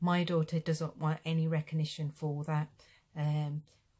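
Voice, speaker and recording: A woman talks at a moderate pace in a very deep, low pitch, her tone dark, mellow and somewhat breathy. Her intonation is monotone and flat, and the recording is very clean with a silent background. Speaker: injured former police officer. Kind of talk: personal testimony to camera. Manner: halting, many fillers.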